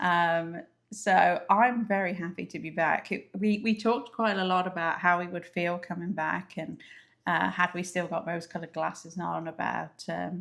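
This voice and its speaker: With an English accent, a woman speaks at a moderate pace in a fairly low pitch and fairly even intonation, on a very clean recording with a silent background. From England. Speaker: travel vlogger. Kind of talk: casual chat.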